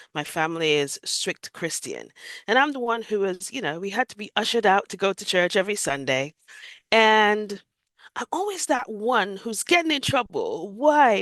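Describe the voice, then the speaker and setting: A woman with an American accent speaks at a moderate pace and medium pitch, her voice making very wide pitch swings. The sound is dry and close with no echo, over a quiet background. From Jamaica. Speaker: near-death experience survivor. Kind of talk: interview testimony.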